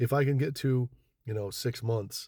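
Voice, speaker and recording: A man speaks in a dark, mellow tone that is somewhat breathy, with fairly even intonation. The recording is very clean with a silent background. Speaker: social media video creator. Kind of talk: casual monologue to camera. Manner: halting, repeats words.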